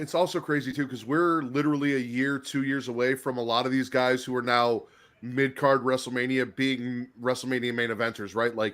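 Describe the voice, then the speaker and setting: An American-accented man at medium pitch, in an ordinary speaking voice, fairly quick pace and fairly even intonation, on a very clean recording with a silent background. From Chicago area, US Midwest. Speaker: wrestling YouTube host. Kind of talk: casual chat.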